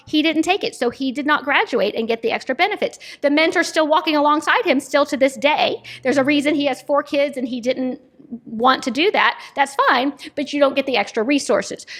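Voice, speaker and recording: Noticeable background noise accompanies a woman with a high voice and an animated tone. She speaks at a fairly quick pace with lively intonation. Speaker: nonprofit executive director. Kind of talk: interview conversation. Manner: fast.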